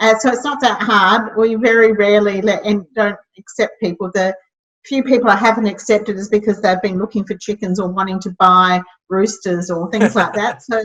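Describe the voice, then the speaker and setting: Speaking at a moderate pace with an Australian accent, a woman keeps a medium pitch and fairly even intonation. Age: 60s. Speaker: social enterprise founder. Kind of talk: interview.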